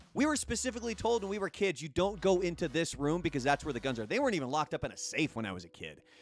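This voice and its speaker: A man's high-pitched, animated voice with very wide pitch swings, a very fast pace and hardly any pauses. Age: 40s. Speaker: live streamer. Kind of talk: casual chat. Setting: live stream.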